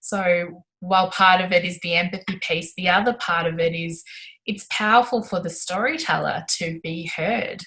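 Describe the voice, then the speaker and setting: A woman with an Australian accent, medium in pitch and bright, sharp in tone, at a moderate pace with fairly even intonation. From Melbourne, Australia. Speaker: sports inclusion advocate and broadcaster. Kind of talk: interview answer.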